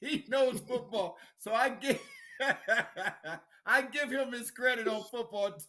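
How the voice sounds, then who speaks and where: A man's raised, projected voice at a fairly slow pace. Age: 60s. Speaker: sports radio host and basketball coach. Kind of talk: casual sports talk show.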